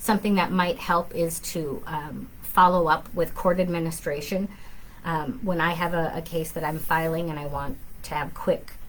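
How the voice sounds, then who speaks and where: Ordinary pitch variation in a woman's somewhat breathy voice. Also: fairly low pitch for a woman, moderate pace. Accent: American. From southern Minnesota. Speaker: family law attorney. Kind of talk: live Q&A. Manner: conversational, frequent fillers.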